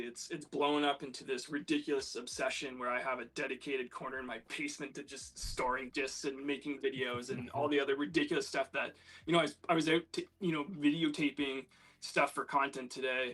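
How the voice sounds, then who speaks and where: A man with a Canadian accent, bright, sharp tone, fairly even intonation and hardly any pauses. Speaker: disc golf player, guest. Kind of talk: casual chat.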